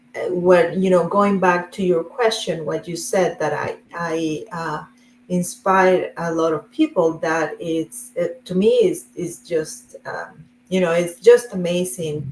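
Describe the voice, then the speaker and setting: A woman with a Spanish accent speaks fairly slowly at a fairly low pitch, with fairly even intonation. Background noise is noticeable. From Colombia. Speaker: real estate investor. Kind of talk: interview.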